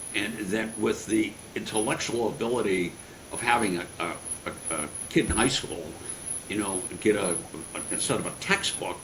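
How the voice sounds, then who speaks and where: A fairly low-pitched man at a moderate pace, with audible room echo and noticeable background noise. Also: ordinary pitch variation. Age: 70s. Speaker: sports marketing executive and author. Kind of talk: interview. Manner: halting.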